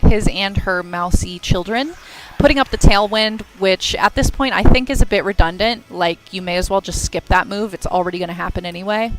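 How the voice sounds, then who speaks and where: A woman talks at a medium pitch and a fairly quick pace, her tone animated with ordinary pitch variation. Her loudness swings widely, and there is noticeable background noise. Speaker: stream commentator. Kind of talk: live commentary. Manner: stuttering.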